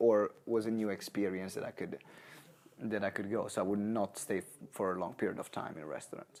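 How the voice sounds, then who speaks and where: Speaking at a moderate pace, a man with an Italian accent has a dark, mellow tone. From Italy, Maranello. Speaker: entrepreneur. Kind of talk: interview. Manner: halting.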